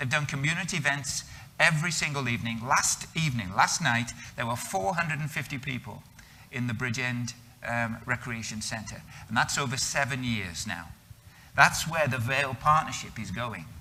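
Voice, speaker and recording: A man with a British accent against noticeable background noise. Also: medium pitch for a man, ordinary pitch variation, moderate pace. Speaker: missionary. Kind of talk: interview.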